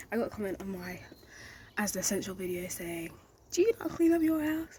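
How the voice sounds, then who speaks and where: A woman at a medium pitch, with very wide pitch swings and a fairly quick pace. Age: young. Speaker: YouTube vlogger and college student. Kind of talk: casual talk to camera. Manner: fast.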